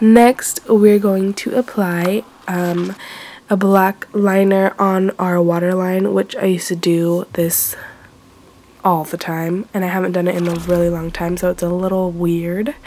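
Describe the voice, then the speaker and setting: Noticeable background noise sits behind a woman speaking at a medium pitch and a fairly slow pace with monotone, flat intonation. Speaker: beauty vlogger. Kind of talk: makeup tutorial talk to camera. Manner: casual, chatty.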